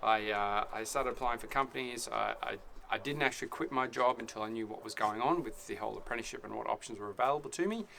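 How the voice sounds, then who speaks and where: A man with an Australian accent at a very fast pace, with noticeable background noise. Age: 40s. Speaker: apprentice carpenter and video blogger. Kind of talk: casual vlog talk to camera. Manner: halting, many fillers and restarts.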